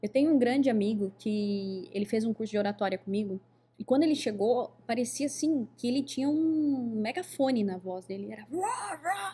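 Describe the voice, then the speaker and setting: A woman's animated tone with lively intonation, fairly high pitch and moderate pace, over noticeable background noise. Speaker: podcast host, oratory teacher. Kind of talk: casual podcast interview.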